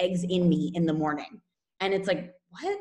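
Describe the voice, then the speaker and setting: Her voice is somewhat breathy. The woman speaks at a medium pitch. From California, US. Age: 30s. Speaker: nutrition coach. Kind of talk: casual interview chat. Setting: remote call from Spain.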